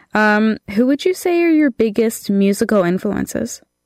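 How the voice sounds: A nasal voice with a slightly mellow tone and lively intonation moves at a fairly slow pace. The sound is dry and close, with no echo. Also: woman, fairly high pitch for a woman.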